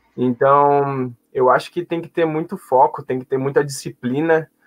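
A man's fairly high voice, fairly slow pace and fairly even intonation. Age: 20s. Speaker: volleyball player (setter). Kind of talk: interview.

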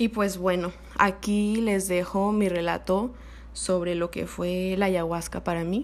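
A woman at medium pitch with a plain, everyday voice, fairly even intonation and a fairly slow pace. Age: 20s. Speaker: podcast host. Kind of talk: personal storytelling monologue.

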